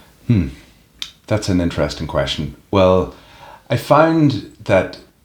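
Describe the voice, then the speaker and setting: With a Northern Irish accent, a man speaks at a very slow pace in a fairly low, somewhat breathy voice. His pitch swings very widely. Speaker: professional wrestler. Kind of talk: interview.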